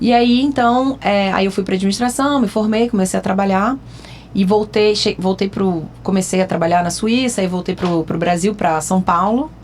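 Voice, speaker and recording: A woman at a moderate pace with ordinary pitch variation, with noticeable background noise. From France (French-Brazilian, schooled in France). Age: 40s. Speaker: psychology student, former marketing manager and coach. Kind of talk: casual podcast chat.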